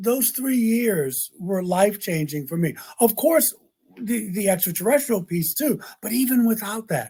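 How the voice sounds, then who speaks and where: Lively in intonation, a man with a high pitch speaks in an American accent. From US Mid-Atlantic, Baltimore, Maryland. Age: 60s. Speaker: interfaith minister. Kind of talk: podcast interview. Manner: reflective, with frequent repetitions.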